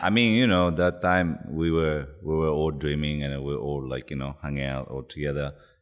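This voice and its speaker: A man with a Japanese accent, very deep and low in pitch, with ordinary pitch variation at a moderate pace. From Yamagata, Japan. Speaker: record label co-founder. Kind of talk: casual interview chat. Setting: studio.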